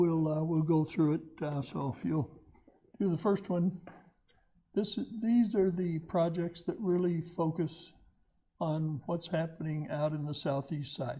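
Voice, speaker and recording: A man with a dark, mellow tone and high pitch speaks fairly slowly with ordinary pitch variation and long, frequent pauses. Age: 80s+. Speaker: retired county economic development director, guest speaker. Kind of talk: presentation. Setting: community meeting with audience. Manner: halting, many fillers.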